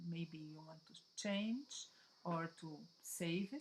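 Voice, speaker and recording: A woman is speaking. Her pace is very slow. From Brazil. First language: Portuguese. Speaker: digital scrapbooking designer. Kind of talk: tutorial. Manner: halting.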